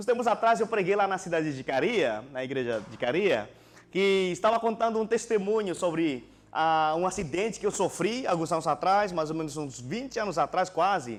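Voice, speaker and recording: Using lively intonation, a man speaks with a non-native accent at a moderate pace. The recording is very clean, with a silent background. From Indonesia. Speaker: pastor. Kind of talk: sermon. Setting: church.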